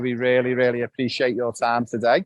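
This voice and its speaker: A man with a Liverpool accent talks at a very fast pace and medium pitch. The sound is dry and close, with no echo. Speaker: football academy host. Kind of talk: live interview. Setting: live video call from Barcelona.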